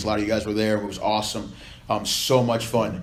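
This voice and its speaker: A man speaks at a fairly quick pace. Room echo is audible. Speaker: volleyball coach. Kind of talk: speech to supporters. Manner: loud; fast.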